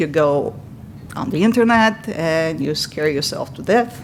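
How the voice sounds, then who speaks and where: Over noticeable background noise, a woman with a Bulgarian accent speaks at a fairly low pitch with lively intonation. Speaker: patient speaker. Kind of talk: testimony.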